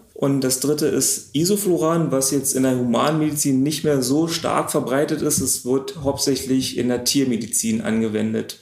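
Against noticeable background noise, a man with a fairly high pitch talks at a moderate pace with hardly any pauses, ordinary pitch variation and very even loudness. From Potsdam area, Brandenburg. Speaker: pharmaceutical production manager. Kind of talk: interview. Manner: casual.

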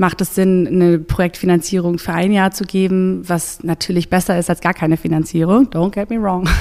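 Speaking at a fairly quick pace, a woman keeps her medium pitch in a monotone, flat intonation. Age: 30s. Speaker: volunteer coordinator. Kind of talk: interview. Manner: hesitant with fillers.

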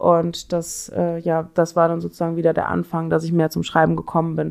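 A woman's speech moves at a moderate pace with a quiet background behind it. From Cologne, Germany. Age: 20s. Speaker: club door selector. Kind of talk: interview.

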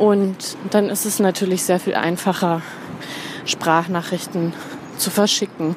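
A woman's medium-pitched voice, monotone and flat, at a very slow pace with long, frequent pauses, over noticeable background noise. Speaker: blogger and podcaster. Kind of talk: voice message monologue. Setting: voice messages recorded on the go.

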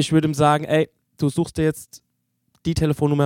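A man talks at a very fast pace with a fairly high pitch and a dark, mellow tone. The sound is dry and close, with no echo. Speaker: podcast host. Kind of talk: casual chat.

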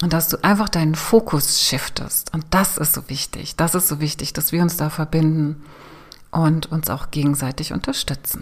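A woman speaks in a soothing, calm tone at a very deep, low pitch. Her voice is somewhat breathy, with ordinary pitch variation. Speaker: podcast host and business coach. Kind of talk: guided meditation. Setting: solo recording. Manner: slow, soothing, calm with long pauses; gentle, hypnotic, inviting.

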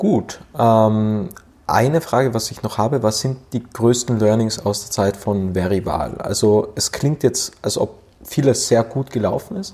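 A man with an unremarkable speaking voice talks at a medium pitch. His pitch variation is ordinary, and his pace fairly slow. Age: 20s. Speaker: podcast host. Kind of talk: interview.

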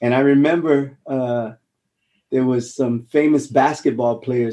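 Speaking with a Hawaiian accent, a man uses a dark, mellow tone, medium pitch, fairly even intonation and a fairly slow pace. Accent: American (Hawaii). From Hawaii, Honolulu. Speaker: actor, former marine. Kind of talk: interview.

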